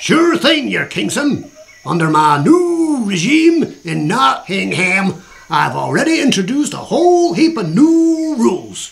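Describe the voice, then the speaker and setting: A put-on character voice from a man with a drawling Southern US accent, extremely high in pitch with very wide pitch swings, at a fairly slow pace. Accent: put-on American Southern cowboy. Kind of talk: comic overacting. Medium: audio drama. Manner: folksy, drawling.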